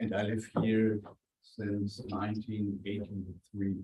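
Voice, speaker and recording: The voice of a man is somewhat breathy. He talks at a very slow pace. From Germany, Franconia. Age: 60s. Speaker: journalist and author. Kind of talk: guest talk to students.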